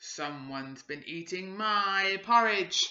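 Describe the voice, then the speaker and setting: This is a put-on character voice at a middle pitch and fairly slow pace. It growls and bellows. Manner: growling, roaring.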